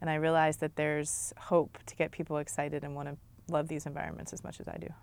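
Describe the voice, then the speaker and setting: A woman's very deep, low voice with vocal fry, a very fast pace, monotone flat intonation, and big swings in loudness. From Maryland, US. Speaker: wetland ecologist and professor. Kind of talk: interview answers.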